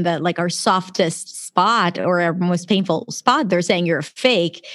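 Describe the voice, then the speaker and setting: A woman talks at a moderate pace. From Israel. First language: Hebrew. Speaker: pronunciation coach. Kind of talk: casual interview. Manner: animated.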